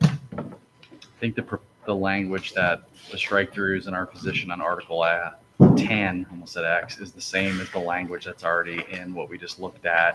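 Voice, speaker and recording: A man with a very deep, low voice talks at a moderate pace with fairly even intonation and big swings in loudness. Noticeable background noise runs underneath. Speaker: district bargaining representative. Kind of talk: contract negotiation meeting.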